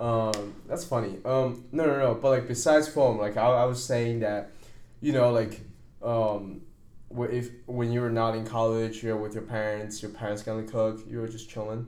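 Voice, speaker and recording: The speech moves at a moderate pace with fairly even intonation. Some room echo can be heard. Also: man, medium pitch for a man. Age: 20s. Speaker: podcast host. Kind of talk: casual chat.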